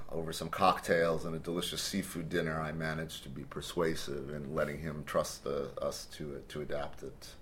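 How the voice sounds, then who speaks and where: Speaking at a fairly slow pace with an American accent, a man uses a very deep, low pitch and vocal fry. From US Midwest (Cleveland, Ohio). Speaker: composer. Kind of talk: interview.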